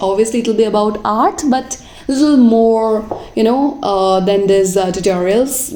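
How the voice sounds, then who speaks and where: A woman at a fairly slow pace, with ordinary pitch variation and audible room echo. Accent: non-native. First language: not English. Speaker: watercolor artist. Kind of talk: voiceover tutorial chat. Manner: halting, many fillers.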